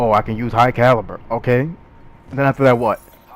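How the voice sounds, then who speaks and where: Noticeable background noise fills this clip. A man talks over it. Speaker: gaming YouTuber. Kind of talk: gameplay commentary. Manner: fast; animated.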